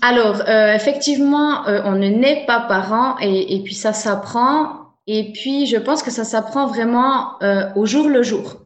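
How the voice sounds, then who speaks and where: A woman's high-pitched voice with ordinary pitch variation, very slow pace and audible room echo. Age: 30s. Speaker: soul therapist and coach. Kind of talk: interview.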